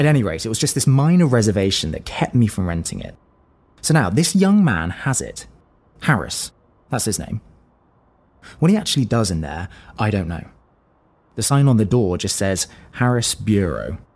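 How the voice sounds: A man's put-on character voice with big pitch swings, a slightly mellow tone and a slightly husky edge. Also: fairly low pitch for a man, moderate pace.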